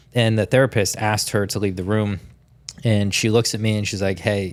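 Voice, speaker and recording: A man with an American accent has a normal speaking voice, fairly low in pitch, and talks at a fairly quick pace with fairly even intonation on a very clean recording with a silent background. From Tampa, Florida. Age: 30s. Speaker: sales coach. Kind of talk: interview. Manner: casual.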